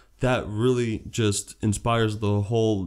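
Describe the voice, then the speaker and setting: Recorded very cleanly against a silent background, a man with a Slovak accent speaks at a fairly low pitch and a fairly slow pace with ordinary pitch variation. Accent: Slovak-tinged accent, acquired later. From New Jersey, Perth Amboy; Slovak family. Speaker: entrepreneur and real estate agent. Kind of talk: casual interview. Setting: at his home.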